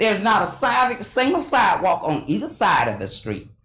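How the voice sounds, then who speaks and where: A woman talks at a fairly quick pace. There is noticeable background noise and audible room echo. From South Bay, Florida. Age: 70s. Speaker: resident speaking at public comment. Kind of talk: public comment.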